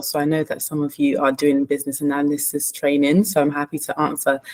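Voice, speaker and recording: Her pitch is very deep and low. The woman talks at a very fast pace in a London accent. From London, England. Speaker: management consultant. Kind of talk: panel introduction.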